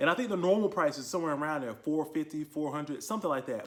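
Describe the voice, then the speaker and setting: A man's fairly high voice with lively intonation. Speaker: gun review youtuber. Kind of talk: product review. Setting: garage. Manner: fast; casual. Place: garage. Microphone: phone near.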